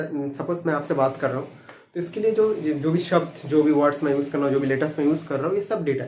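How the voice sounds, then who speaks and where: In a room with audible echo, a man speaks in a fairly high pitch with ordinary pitch variation. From Bengal, India. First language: Bengali (speaking Hindi). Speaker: computer science teacher. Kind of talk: lecture. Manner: halting, with fillers.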